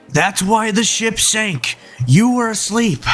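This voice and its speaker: Someone puts on a character voice, speaking at a fairly slow pace. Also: man, high pitch for a man. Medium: audio drama. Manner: curt, cold.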